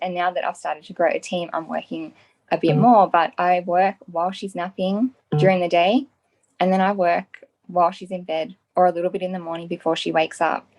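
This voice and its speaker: Over background music, the speech runs at a fairly quick pace with fairly even intonation and a dry, close sound with no echo. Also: woman, fairly low pitch for a woman. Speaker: stay-at-home mum and business partner. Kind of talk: interview answer. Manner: soft-spoken, humble.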